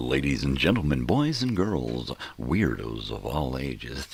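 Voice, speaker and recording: A man puts on a booming character voice at a very deep, low pitch, speaking at a moderate pace with light background noise. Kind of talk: announcer.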